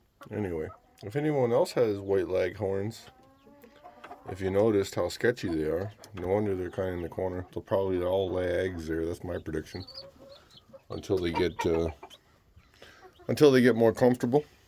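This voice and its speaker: Over noticeable background noise, a man speaks in a very deep, low pitch with ordinary pitch variation. His pace is fairly quick, yet he takes long, frequent pauses. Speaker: homesteader vlogger. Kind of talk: casual vlog walkthrough.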